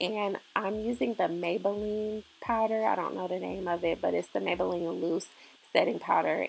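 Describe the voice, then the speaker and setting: A woman's plain, everyday voice at a medium pitch and moderate pace. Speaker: beauty YouTuber. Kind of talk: tutorial. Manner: casual, filler-heavy.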